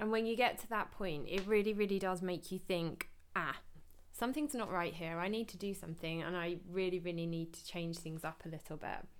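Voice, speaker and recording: Speaking in an English accent, a woman keeps a fairly quick pace with ordinary pitch variation. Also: medium pitch for a woman, big swings in loudness. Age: 30s. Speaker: podcast host, personal trainer. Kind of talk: casual monologue.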